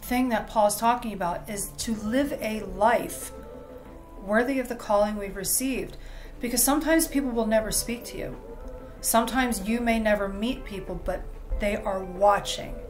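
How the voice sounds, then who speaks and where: Clear music plays in the background as a woman talks at a moderate pace with ordinary pitch variation. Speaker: bible study host. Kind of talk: lecture. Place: home room. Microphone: webcam.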